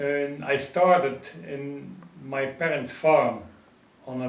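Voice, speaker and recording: A man speaks at a very slow pace with a Dutch accent and a fairly high pitch for a man. Audible echo from the room surrounds his voice. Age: 70s. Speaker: pigeon racing expert and publisher. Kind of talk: interview. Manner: halting.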